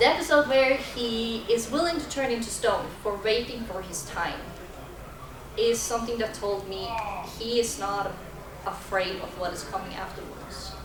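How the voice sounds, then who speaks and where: A woman with a non-native accent speaks at a moderate pace with a fairly high pitch, ordinary pitch variation and big swings in loudness. Noticeable background noise and audible room echo fill the recording. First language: not English. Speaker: convention panelist. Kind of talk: convention panel talk. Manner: halting.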